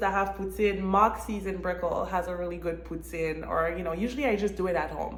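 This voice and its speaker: A woman speaks at a very fast pace in a Quebec accent. Room echo is audible. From Montreal, Quebec, Canada. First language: French. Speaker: real estate agent and vlogger. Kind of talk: casual vlog monologue.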